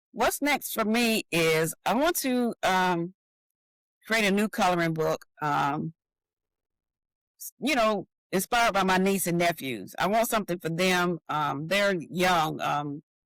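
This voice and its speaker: Fairly slow speech with a Southern US accent. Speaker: author and designer. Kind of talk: interview.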